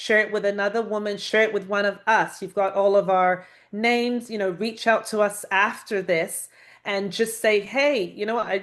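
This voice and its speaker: A woman with a British accent talks at a moderate pace and fairly high pitch, her intonation fairly even, over a quiet background. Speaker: panelist, women's leadership mentor. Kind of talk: panel discussion.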